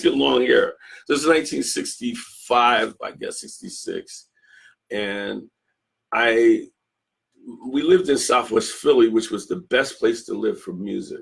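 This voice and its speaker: Long, frequent pauses break up this man's speech. His pace is fairly slow. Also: big swings in loudness. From Philadelphia, US. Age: 60s. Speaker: guitarist. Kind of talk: interview.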